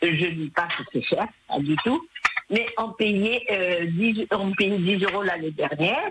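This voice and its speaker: A woman speaks at a very slow pace with lively intonation and very even loudness. Noticeable background noise can be heard. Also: medium pitch for a woman. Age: 70s. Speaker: radio caller. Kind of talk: phone-in comment.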